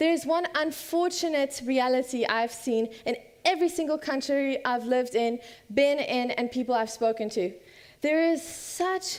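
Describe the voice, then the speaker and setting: With an American accent, the delivery moves at a moderate pace and shows ordinary pitch variation. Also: woman. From South Africa and USA (third culture kid). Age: 20s. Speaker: student speaker. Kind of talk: conference talk.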